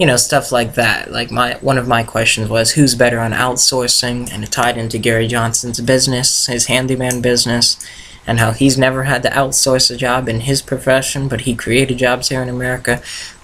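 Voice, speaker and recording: Against noticeable background noise, a man speaks at a fairly quick pace with hardly any pauses, his medium pitch held in a flat, monotone intonation. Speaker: political campaign volunteer vlogger. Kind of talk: casual vlog tutorial. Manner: fast.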